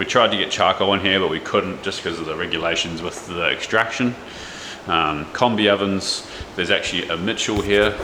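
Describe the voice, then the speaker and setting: Against noticeable background noise, a man speaks at a fairly quick pace with a fairly low pitch and fairly even intonation. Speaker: chef and cooking vlogger; cooking video creator. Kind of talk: casual vlog.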